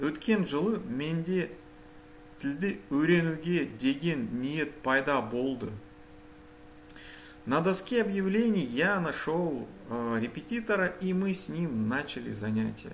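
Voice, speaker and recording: A man speaks at a very slow pace in a fairly high pitch, with very wide pitch swings and long, frequent pauses. Audible room echo surrounds his voice. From Kazakhstan, Almaty. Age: 40s. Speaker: language learner vlogger. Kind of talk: reading aloud a prepared bilingual text. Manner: halting, self-correcting.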